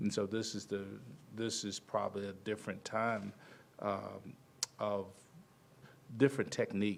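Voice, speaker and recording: A man speaks at a moderate pace in a fairly low pitch, taking long, frequent pauses. His intonation is monotone and flat. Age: 60s. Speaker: basketball assistant coach. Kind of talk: press conference. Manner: halting.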